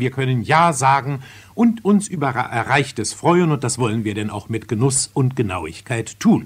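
A man's voice moves in very wide pitch swings. It sounds somewhat breathy. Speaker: radio theatre critic. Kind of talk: radio theatre review, spoken commentary. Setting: radio broadcast, archival recording. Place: studio. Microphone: old recording.

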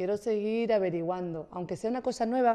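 Against a quiet background, a woman speaks at a fairly quick pace. Her tone is dark and mellow, with ordinary pitch variation. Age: young. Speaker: wellness presenter; guest. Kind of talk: casual chat. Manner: fast; energetic. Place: studio. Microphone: studio mic.

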